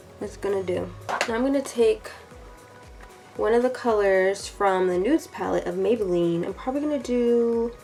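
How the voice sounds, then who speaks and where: Music plays in the background while a woman with a fairly high pitch speaks with long, frequent pauses. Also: ordinary pitch variation, moderate pace. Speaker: beauty vlogger. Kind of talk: makeup tutorial voice-over. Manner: casual, chatty.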